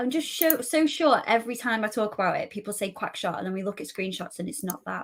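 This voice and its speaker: Her intonation rises and falls in a lively way. The woman is speaking very fast. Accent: northern English. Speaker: gaming community manager and cosplayer. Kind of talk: casual chat. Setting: live stream interview.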